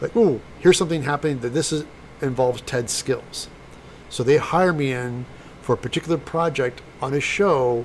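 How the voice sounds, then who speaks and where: A moderate pace and ordinary pitch variation, with a Midwestern American accent. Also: man. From US Midwest, St. Louis, Missouri. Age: 60s. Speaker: special effects prop maker and YouTuber. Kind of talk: casual live-stream chat.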